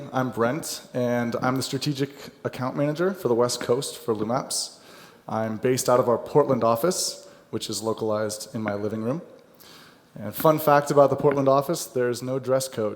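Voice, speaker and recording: A man's plain, everyday voice with a General American accent, at a moderate pace and with ordinary pitch variation. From United States. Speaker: software account manager. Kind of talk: conference presentation. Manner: light-hearted, humorous.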